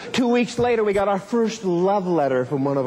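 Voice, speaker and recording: Amid noticeable background noise, a man speaks in an animated, enthusiastic tone with very wide pitch swings. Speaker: motivational speaker. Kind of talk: motivational keynote speech telling a personal story. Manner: animated, humorous, enthusiastic storytelling.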